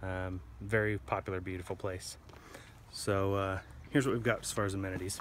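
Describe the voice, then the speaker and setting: A man with a very deep, low pitch talks at a fairly quick pace with ordinary pitch variation. The sound is dry with no echo, and light background noise is present. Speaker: trail video host. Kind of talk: casual vlog chat. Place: open country. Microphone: phone near.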